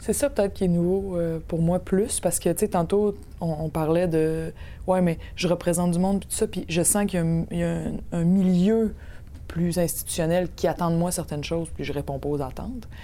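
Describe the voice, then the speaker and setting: Dark, mellow tone from a woman, pitched fairly low. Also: fairly even intonation, moderate pace. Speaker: podcast host and politician. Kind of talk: casual chat. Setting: studio.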